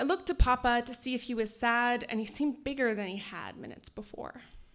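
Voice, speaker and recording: A woman speaks with a Canadian accent at a high pitch. Her pace is fairly quick, with ordinary pitch variation. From northern Alberta, Canada (Cree). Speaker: writer and editor. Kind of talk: storytelling reading. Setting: stage with audience.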